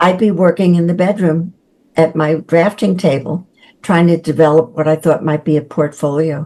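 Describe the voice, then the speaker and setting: Moderately paced, a woman speaks in a New York accent at a fairly low pitch. Her intonation is fairly even and her loudness very even. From New York City (the Bronx). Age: 80s+. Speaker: children's book author. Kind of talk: interview.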